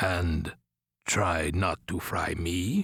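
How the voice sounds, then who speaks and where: A put-on character voice from a man, very deep and low in pitch. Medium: read story. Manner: measured, matter-of-fact.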